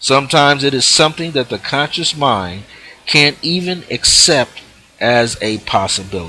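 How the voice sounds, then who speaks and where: The intonation is lively and the pace moderate. Noticeable background noise can be heard. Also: man, fairly high pitch for a man. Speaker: spiritual teacher. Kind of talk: live spiritual teaching broadcast. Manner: explanatory, emphatic, reading aloud from a book.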